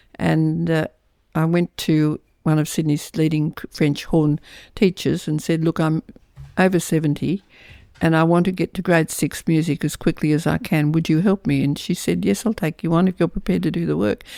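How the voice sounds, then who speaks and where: In an Australian accent, a woman speaks at a moderate pace with a very deep, low pitch and a dark, mellow tone, the sound dry and close with no echo on a very clean recording with a silent background. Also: ordinary pitch variation. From Australia, Lithgow New South Wales. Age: 80s+. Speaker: author. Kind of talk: interview. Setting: at home. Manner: halting.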